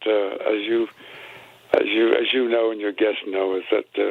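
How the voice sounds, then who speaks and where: The speech keeps a moderate pace. Noticeable background noise is audible throughout. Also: man. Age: 80s+. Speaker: civil rights veteran and author. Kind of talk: radio interview. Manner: halting, many fillers and repetitions.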